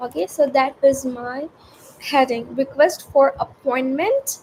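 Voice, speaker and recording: A woman speaks very slowly at a high pitch with ordinary pitch variation. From India. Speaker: student vlogger. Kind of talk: casual unscripted vlog. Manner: halting.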